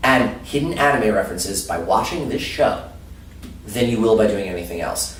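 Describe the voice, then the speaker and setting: An animated male voice amid noticeable background noise and audible room echo. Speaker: anime panelist. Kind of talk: interview. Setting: convention. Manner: loud.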